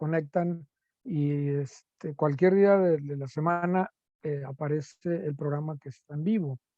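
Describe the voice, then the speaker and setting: Fairly slow delivery from a man, dark and mellow in tone, his pitch varying in an ordinary way. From Mexico, Nuevo Laredo, Tamaulipas. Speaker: philosophy professor and radio host. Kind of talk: interview conversation. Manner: halting, many fillers.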